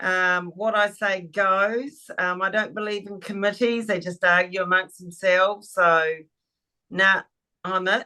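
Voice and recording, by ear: A woman speaks at a fairly slow pace in a medium-pitched voice, her tone clear and smooth yet bright and sharp, her intonation fairly even.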